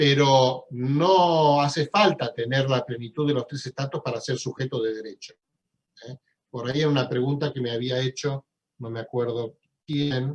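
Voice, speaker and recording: A man talks in a medium pitch with a somewhat breathy sound. His intonation stays fairly even. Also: moderate pace. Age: 60s. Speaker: law professor. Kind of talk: lecture.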